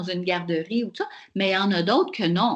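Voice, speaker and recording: A woman talks at a fairly quick pace in a plain, everyday voice with ordinary pitch variation. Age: 60s. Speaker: professor. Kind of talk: webinar Q&A answer.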